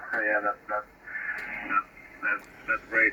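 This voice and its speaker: A man's voice over noticeable background noise. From Lithuania. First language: Lithuanian. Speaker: amateur radio operator. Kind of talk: ham radio contact. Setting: radio transmission.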